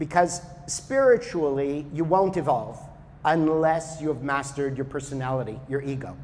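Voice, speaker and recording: A man talks at a moderate pace while noticeable noise runs behind him. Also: fairly high pitch for a man, ordinary pitch variation. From Canada. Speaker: spiritual teacher. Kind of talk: talk to an audience. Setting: yoga studio with audience. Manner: loud.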